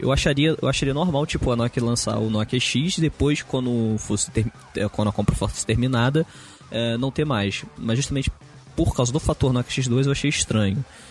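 A man speaks at a moderate pace. Behind him, background noise is noticeable. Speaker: tech podcast co-host. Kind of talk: casual chat. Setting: recording on a balcony.

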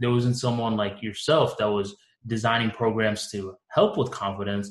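A somewhat breathy man's voice at medium pitch and a moderate pace. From Bangladesh, moved to US at five. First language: Bengali. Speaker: communications coach. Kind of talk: interview.

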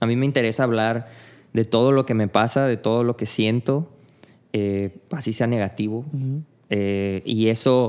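In a very clean recording with a silent background, a man with a Mexican accent talks at a fairly slow pace, medium pitch and fairly even intonation. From Mexico (Tepic, Nayarit; childhood in Tabasco). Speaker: street artist. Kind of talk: casual interview conversation.

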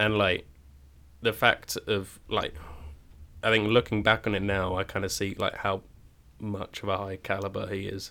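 A man with a southern English accent speaks at a moderate pace in a fairly low, bright and sharp voice, his intonation flat and monotone, with long, frequent pauses. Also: very clean recording, silent background. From Cambridge, England. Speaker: drama school student. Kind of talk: casual chat. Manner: hesitant, many fillers.

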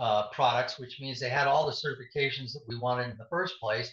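Talking fairly quickly, a man has a medium pitch and a normal speaking voice. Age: 60s. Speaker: supplement formulator, former athletic trainer. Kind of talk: interview. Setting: video call.

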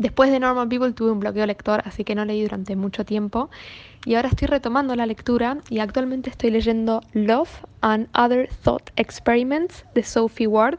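A woman with an ordinary speaking voice talks at a fairly high pitch. Her pace is moderate and her intonation fairly even. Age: young. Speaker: book editor. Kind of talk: recorded book recommendation.

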